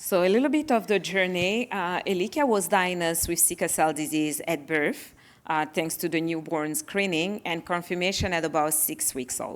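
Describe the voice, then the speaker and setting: A woman with a French accent speaks at a moderate pace in a fairly low pitch, with ordinary pitch variation and hardly any pauses. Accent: French accent, noticeable. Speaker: parent of child with sickle cell disease. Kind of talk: panel presentation.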